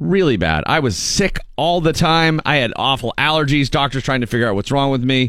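A man with an unremarkable speaking voice talks at a fairly quick pace with hardly any pauses, his pitch fairly high. His intonation is lively and his loudness very even. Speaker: radio host. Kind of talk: casual chat. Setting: studio.

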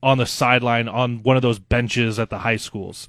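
The recording is very clean, and the background is silent. At a moderate pace, the speaker talks with an American accent. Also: man. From Nebraska. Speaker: radio co-host and sports director. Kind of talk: casual chat. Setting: home basement.

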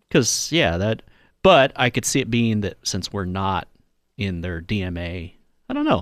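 In a very clean recording with a silent background, a man with a plain, everyday voice speaks fairly slowly at a fairly low pitch with ordinary pitch variation. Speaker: radio sports co-host. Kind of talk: casual sports talk radio banter. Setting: radio studio.

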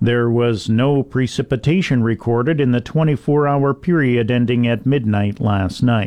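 A man with a Canadian accent speaks at a fairly slow pace in an ordinary speaking voice, medium in pitch with ordinary pitch variation. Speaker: farm radio host. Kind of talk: radio news reading. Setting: radio studio.

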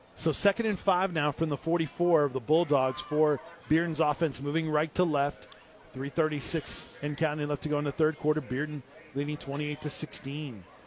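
A man with a fairly high pitch talks fairly quickly, and noticeable background noise is heard behind him. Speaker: play-by-play sports announcer. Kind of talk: live high school football play-by-play. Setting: stadium broadcast booth. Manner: rising, excited yard-by-yard countdown on a breakaway run; brisk, energetic, clipped snap-by-snap narration.

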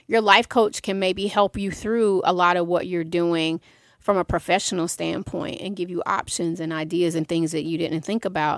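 A woman with a plain, everyday voice talks at a moderate pace, fairly low in pitch and with fairly even intonation. The very clean recording has a silent background and a dry, close sound with no echo. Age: 50s. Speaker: music industry executive and mental health advocate. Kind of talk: interview.

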